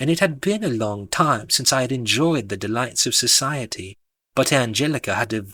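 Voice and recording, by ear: Reading aloud in a natural voice, with lively intonation and a quiet background.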